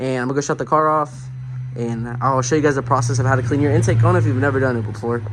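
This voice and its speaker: A man talks at a very fast pace. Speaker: car enthusiast vlogger. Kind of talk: DIY tutorial vlog. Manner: casual, slangy; occasionally stuttering.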